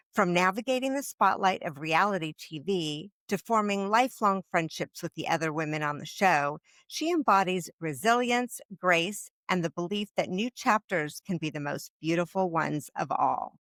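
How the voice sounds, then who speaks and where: A woman speaks at a moderate pace in a medium pitch, with an unremarkable speaking voice. Her intonation is lively, and the sound is dry and close with no echo. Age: 50s. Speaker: podcast host. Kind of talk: scripted introduction; interview.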